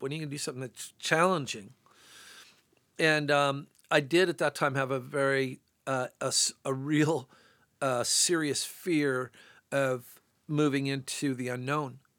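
The recording is very clean, with a silent background. A man with a normal speaking voice talks at a fairly high pitch with fairly even intonation. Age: 60s. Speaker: sculptor. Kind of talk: casual chat. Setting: studio.

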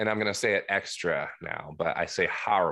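This is a man speaking with an American accent. The background is quiet. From New Jersey. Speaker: guitarist. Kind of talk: casual chat. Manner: loud.

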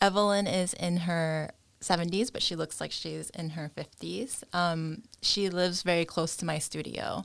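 A woman with a New York accent speaks in a fairly low voice with fairly even intonation and hardly any pauses, on a very clean recording with a silent background. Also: moderate pace. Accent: New York American. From US, New York. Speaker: fashion entrepreneur. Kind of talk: interview.

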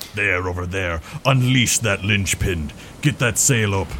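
A man puts on a character voice at a fairly low pitch, with clear background noise behind him. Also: moderate pace. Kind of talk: ominous in-character speech. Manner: grim, commanding.

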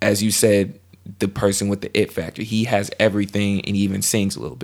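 A man speaks in a plain, everyday voice, fairly low in pitch with ordinary pitch variation. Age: 20s. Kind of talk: casual chat.

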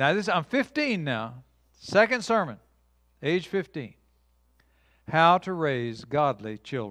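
A man's very slow, fairly high-pitched speech with very wide pitch swings and long, frequent pauses, in a very clean recording with a silent background. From US Midwest, Cape Girardeau, Missouri. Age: 70s. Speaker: pastor. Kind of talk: sermon. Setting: church. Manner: animated.

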